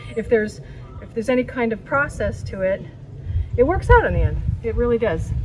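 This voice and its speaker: A woman with an American accent talks fairly quickly, leaving long, frequent pauses. Her loudness swings widely, and noticeable background noise is present. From San Francisco area, US West Coast. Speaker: art teacher. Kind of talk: tutorial. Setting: outdoors.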